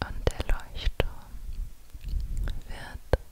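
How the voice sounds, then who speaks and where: A woman is whispering. Her tone is intense. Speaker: relaxation narrator. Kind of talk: guided meditation, soft ASMR-like storytelling. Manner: slow intense whisper close to mic. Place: home room. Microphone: studio mic.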